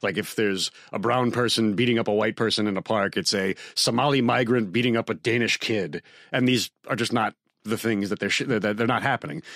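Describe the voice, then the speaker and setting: A man with an American accent and an unremarkable speaking voice, medium pitch, ordinary pitch variation and very even loudness, in a very clean recording with a silent background. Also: fairly quick pace. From suburban New York. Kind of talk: casual chat.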